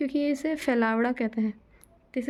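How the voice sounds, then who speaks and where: A woman's high-pitched voice in a dark, mellow tone, at a moderate pace, on a very clean recording with a silent background. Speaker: student vlogger. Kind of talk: casual vlog update. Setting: at home, study desk.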